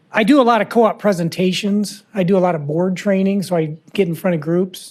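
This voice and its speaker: A man's high-pitched voice at a moderate pace, with a Midwestern US accent and fairly even intonation. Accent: US Midwest. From Iowa, Fort Dodge. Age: 60s. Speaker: lawyer. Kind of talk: lecture. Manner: casual, halting.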